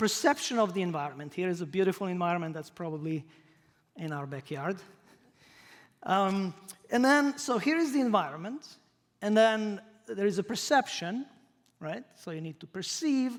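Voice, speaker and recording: A man with a Croatian accent and a high pitch, very wide pitch swings, big swings in loudness, a moderate pace and long, frequent pauses. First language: not English. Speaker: professor. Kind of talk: lecture. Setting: stage with audience.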